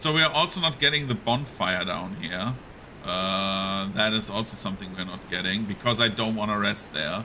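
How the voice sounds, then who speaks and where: Amid noticeable background noise, a man with a fairly low pitch talks at a moderate pace using lively intonation. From Germany. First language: German. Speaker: video game streamer. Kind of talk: live gameplay commentary. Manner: casual, filler-heavy.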